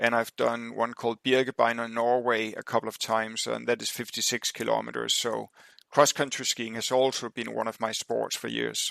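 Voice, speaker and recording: A man with a Danish accent speaks at a moderate pace and medium pitch in a bright, sharp tone with monotone, flat intonation. The recording is very clean, with a silent background and a dry, close sound with no echo. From Denmark. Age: 60s. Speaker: endurance athlete. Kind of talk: podcast interview. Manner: halting, many fillers.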